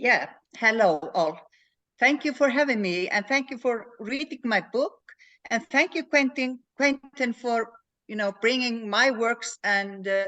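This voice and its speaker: Speaking with an Icelandic accent at a fairly slow pace, a woman uses lively intonation and a fairly high pitch. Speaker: crime novelist. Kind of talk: interview.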